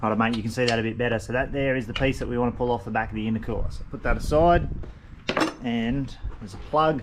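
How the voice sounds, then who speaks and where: With an Australian accent, a man at medium pitch talks at a fairly quick pace with ordinary pitch variation, amid noticeable background noise and audible room echo. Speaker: mechanic video host. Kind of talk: tutorial. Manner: fast; casual.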